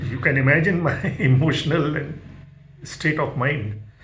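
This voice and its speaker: Over noticeable background noise and audible room echo, a man speaks fairly slowly with lively intonation. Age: 70s. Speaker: spiritual devotee sharing experiences. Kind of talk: personal testimony. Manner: halting.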